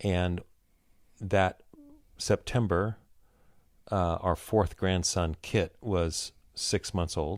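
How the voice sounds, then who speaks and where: The recording is very clean with a silent background. A man speaks very slowly at a very deep, low pitch with fairly even intonation and long, frequent pauses. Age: 60s. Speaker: pastor. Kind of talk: casual chat.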